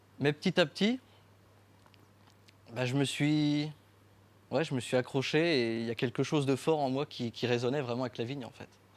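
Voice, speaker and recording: A man speaks at a moderate pace with a medium pitch. His pitch varies in an ordinary way, and he takes long, frequent pauses. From France, Champagne region (Marne). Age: 20s. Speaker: winemaker and artist. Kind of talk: talk to an audience. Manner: halting, many fillers.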